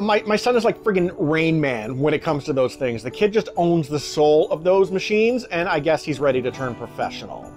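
Faint music sits in the background. Over it, a man talks at a fairly quick pace. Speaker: food reviewer. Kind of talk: casual review vlog chat. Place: home room. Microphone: phone near.

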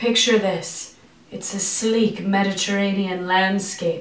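A woman speaks at a very slow pace. The room echo is audible. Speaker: comedy news host. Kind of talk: comedic news commentary. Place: bathroom.

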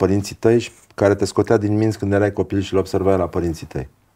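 A man's dark, mellow, fairly low voice at a moderate pace over a quiet background. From Brăila, Romania; Romania. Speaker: podcast host. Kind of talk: casual interview chat. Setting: guest's home. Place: studio.

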